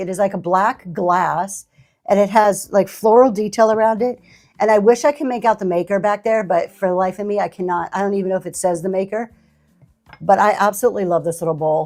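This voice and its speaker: A woman speaks at a fairly quick pace in a plain, everyday voice, with medium pitch and ordinary pitch variation. The recording is very clean, with a silent background. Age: 60s. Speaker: online live-auction seller. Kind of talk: live selling stream with chat. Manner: conversational, chatty.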